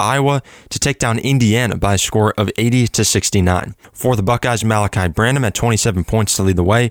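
On a very clean recording with a silent background, the voice moves at a fairly quick pace with ordinary pitch variation. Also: man. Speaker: college radio sports host. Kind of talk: sports scores newsreading. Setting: radio studio. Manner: rapid-fire, brisk and steady delivery of scores and stats; energetic, upbeat broadcaster tone.

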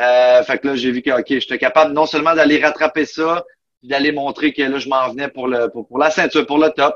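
A man with an ordinary speaking voice talks at a fairly high pitch with fairly even intonation, the sound dry and close with no echo. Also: fairly quick pace. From Quebec, Outaouais (Buckingham). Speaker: mixed martial arts fighter. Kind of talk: interview.

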